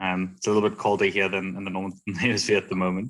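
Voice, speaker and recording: A man with a South African accent in a very clean recording with a silent background. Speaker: economic development consultant. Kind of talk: self-introduction.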